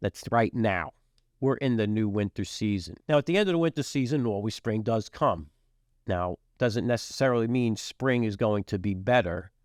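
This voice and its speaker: Here is a plain, everyday voice from a man with an American accent. He talks at a medium pitch and a moderate pace over a quiet background. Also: ordinary pitch variation. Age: 60s. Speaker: podcast host, businessman and military veteran. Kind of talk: podcast monologue. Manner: casual, with frequent fillers.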